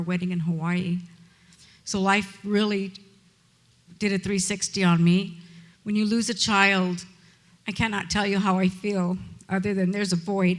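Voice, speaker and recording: Woman's medium-pitched, somewhat breathy voice in monotone, flat intonation at a moderate pace. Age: 60s. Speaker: honorary degree recipient, charity founder. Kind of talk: graduation speech.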